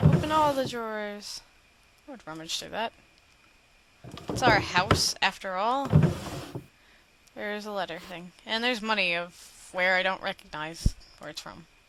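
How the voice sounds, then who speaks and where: A woman at medium pitch with lively intonation, big swings in loudness, long, frequent pauses, and noticeable background noise. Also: fairly slow pace. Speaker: gaming video host. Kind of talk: let's play commentary.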